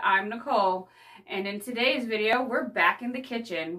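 Female speech at a moderate pace, with ordinary pitch variation. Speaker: home cooking vlogger. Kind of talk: casual vlog chat. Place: home room. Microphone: phone near.

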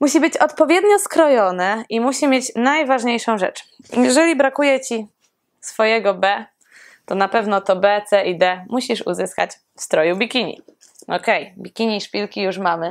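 Against a quiet background, a woman talks at a moderate pace with a fairly high pitch, lively intonation and an animated tone. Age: 20s. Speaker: personal trainer and fitness competitor; personal trainer. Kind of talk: casual vlog. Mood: playful, joking. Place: home room.

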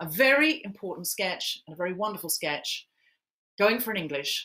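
A woman's bright, sharp tone with lively intonation at a moderate pace. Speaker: comedian and podcaster hosting a charity event. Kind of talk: hosting a live online charity Q&A. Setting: live stream with headphones. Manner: animated. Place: home room. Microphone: webcam.

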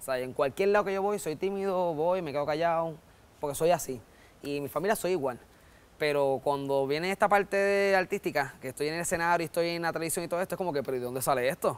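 At a very fast pace, a man talks in a high-pitched voice. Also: ordinary pitch variation. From Puerto Rico. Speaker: comedian. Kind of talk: interview. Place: studio. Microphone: lapel.

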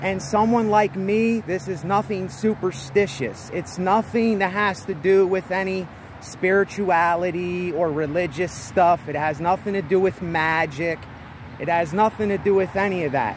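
With light background noise and a dry sound with no echo, a man talks at a moderate pace with ordinary pitch variation. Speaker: vlogger. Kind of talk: casual vlog chat. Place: street. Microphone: phone near.

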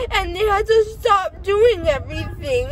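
Loud background noise fills the recording. The voice has ordinary pitch variation and a dry sound with no echo. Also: woman. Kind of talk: casual vlog chat. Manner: groggy, slurred post-anesthesia speech. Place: car. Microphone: phone near.

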